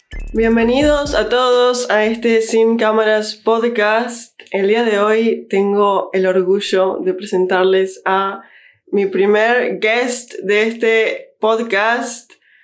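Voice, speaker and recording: Her voice fairly high and her intonation fairly even, a woman talks at a very slow pace with very even loudness. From Uruguay. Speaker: podcast host. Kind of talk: casual chat.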